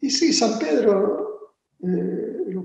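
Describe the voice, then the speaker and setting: A man with an Argentine accent speaks with lively intonation, and audible room echo surrounds his voice. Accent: Argentine Spanish (Rioplatense). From Argentina. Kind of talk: interview on theology. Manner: hesitant, repeats words.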